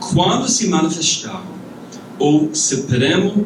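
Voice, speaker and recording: A man speaks with an English accent. Audible room echo and noticeable background noise fill the recording. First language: English (speaking Portuguese). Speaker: pastor and church planter. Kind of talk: conference talk. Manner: halting.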